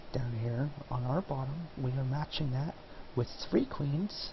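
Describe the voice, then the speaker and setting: Soft-spoken and at a very slow pace, a man talks at a medium pitch with ordinary pitch variation. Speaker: gaming commentator. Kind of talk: gameplay commentary.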